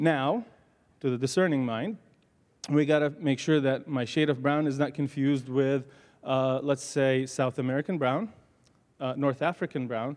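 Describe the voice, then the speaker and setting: Someone with a slight Arabic accent speaks, leaving long, frequent pauses. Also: man, fairly high pitch for a man, ordinary pitch variation, moderate pace, quiet background. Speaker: pharmacy professor. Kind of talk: panel talk.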